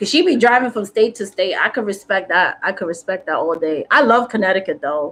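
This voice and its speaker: Animated and lively in intonation, a woman with an American accent and a medium pitch talks at a fairly quick pace with hardly any pauses. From New York City, South Bronx. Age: 40s. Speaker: spiritual content creator. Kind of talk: casual chat. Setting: live stream.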